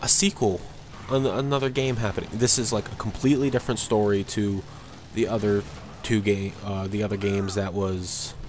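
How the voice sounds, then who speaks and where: A man with a fairly low pitch, talking at a fairly quick pace against noticeable background noise. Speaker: video game commentator. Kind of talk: casual game review commentary. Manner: monotone, a little dull.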